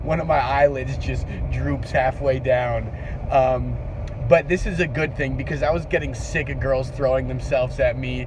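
A man talks at a moderate pace, his voice dry with no echo, over noticeable background noise. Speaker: vlogger. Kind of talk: casual vlog chat. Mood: deadpan comedic. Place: car. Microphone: phone near.

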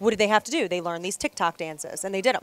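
A woman speaks with lively intonation. The sound is dry, with no echo. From Baltimore, Maryland. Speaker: former pro cheerleader and fitness studio owner; guest. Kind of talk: casual chat. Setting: restaurant bar, live broadcast. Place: bar. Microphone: headset.

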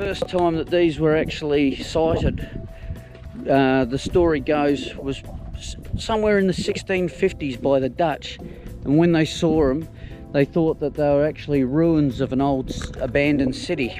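Speech comes at a fairly slow pace over clear music in the background. The sound is dry, with no echo. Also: man, ordinary pitch variation. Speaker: motorcycle travel vlogger. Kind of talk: casual vlog commentary. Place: open country. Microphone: phone near.

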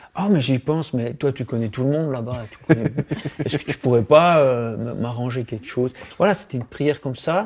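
The man's pitch shifts in an ordinary way as he talks at a moderate tempo. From Switzerland. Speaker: comic book artist. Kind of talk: interview. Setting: studio. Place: studio.

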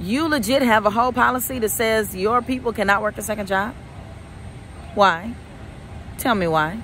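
The voice moves at a moderate pace with very wide pitch swings, dry with no echo, over light background noise. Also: woman. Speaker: career coach. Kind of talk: casual vlog chat. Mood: incredulous, indignant. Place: street. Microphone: phone near.

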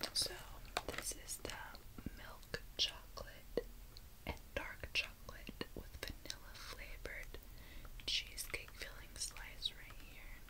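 Long, frequent pauses break up speech delivered at a very slow pace. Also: woman. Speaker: ASMR creator. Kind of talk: ASMR mukbang. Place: home room. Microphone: phone near.

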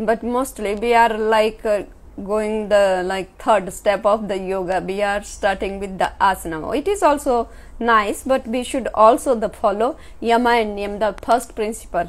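A woman with a fairly high voice speaks fairly slowly, her pitch shifting in an ordinary way. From India, Himachal Pradesh. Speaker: yoga teacher. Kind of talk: lecture. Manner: short phrases paused for interpreter. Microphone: camera far.

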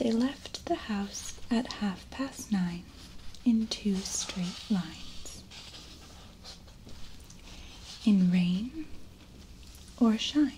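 A soft-spoken woman talks at a very slow pace, with long, frequent pauses over light background noise. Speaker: storybook reader. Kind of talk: reading a children's story aloud. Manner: soft, hushed bedtime storytelling voice. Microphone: webcam.

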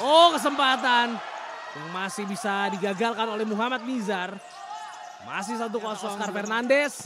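A man's raised, projected voice, high-pitched for a man, with lively intonation at a moderate pace over noticeable background noise. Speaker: futsal commentator. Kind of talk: live sports commentary. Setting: studio. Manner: clipped, breathless bursts reacting to each chance.

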